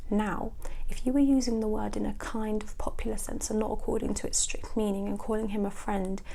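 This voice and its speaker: Here a woman speaks with a British accent. Her pace is fairly quick. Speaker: ASMR creator. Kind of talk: ASMR book reading.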